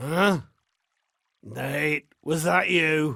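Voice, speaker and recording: This is a put-on character voice with a raspy texture. It sits at a middle pitch. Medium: video game. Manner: gruff, suspicious.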